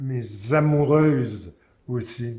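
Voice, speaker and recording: A man talks with a somewhat breathy voice at a medium pitch. His intonation stays fairly even. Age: 80s+. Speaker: singer-songwriter. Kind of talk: interview answer. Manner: hesitant, halting.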